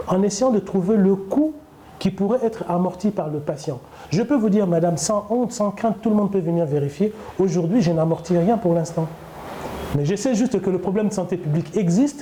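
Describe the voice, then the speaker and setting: Over noticeable background noise, a man with a high voice talks at a fairly quick pace, with ordinary pitch variation and very even loudness. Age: 60s. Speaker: doctor running a wound clinic. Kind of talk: interview during clinic tour. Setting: in a clinic.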